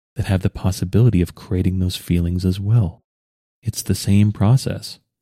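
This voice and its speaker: In a very clean recording with a silent background and a dry, close sound with no echo, a man speaks at a moderate pace with a fairly low pitch and a dark, mellow, somewhat breathy tone. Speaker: podcast host. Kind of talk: monologue on healing and personal reflection. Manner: reflective, earnest.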